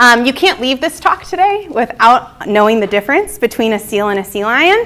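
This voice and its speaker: The voice belongs to a woman. It is pitched fairly high. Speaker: marine mammal researcher. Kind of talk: lecture. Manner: fast.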